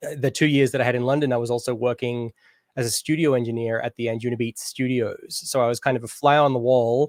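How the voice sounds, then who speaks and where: Very fast and monotone with flat intonation, a man talks at medium pitch in a very clean recording with a silent background and a dry, close sound with no echo. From Australia, Canberra. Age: 30s. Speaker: DJ and music producer. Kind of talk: interview. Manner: casual, hesitant with fillers.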